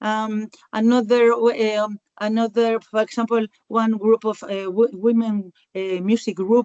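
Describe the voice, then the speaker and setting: A woman with a Spanish accent speaks at a fairly slow pace in a fairly high pitch, her intonation monotone and flat. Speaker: rural community worker. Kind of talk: webinar panel answer. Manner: halting.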